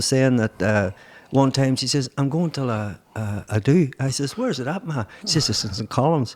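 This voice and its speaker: Here a man with a Mid Ulster accent speaks at a fairly quick pace. His voice is fairly high, with ordinary pitch variation. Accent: Northern Irish (Mid-Ulster). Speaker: podcast host. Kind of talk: casual interview. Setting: podcast.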